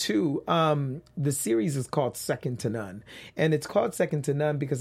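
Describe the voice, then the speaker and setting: A man speaks in a fairly high, somewhat breathy voice with an American accent and ordinary pitch variation. The recording is very clean, with a silent background. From South Central Los Angeles. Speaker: professor and author. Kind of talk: interview.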